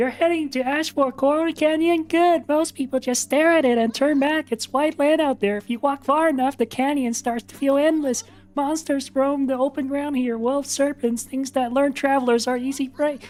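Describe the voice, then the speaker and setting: A man's put-on character voice at an extremely high pitch, delivered at a moderate pace. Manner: funny, exaggerated.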